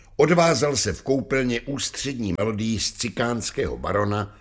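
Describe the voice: What we hear is plain reading aloud.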